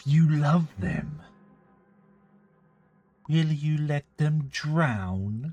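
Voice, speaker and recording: A man uses a put-on character voice at a fairly high pitch, moving at a very slow pace. Faint music plays in the background. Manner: sweet, sugary.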